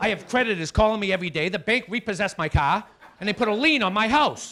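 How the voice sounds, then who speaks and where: A man talks at a very fast pace with a high pitch. His voice is raised and projected. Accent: Boston. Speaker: stand-up comedian. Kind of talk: stand-up. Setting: stage with audience. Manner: animated.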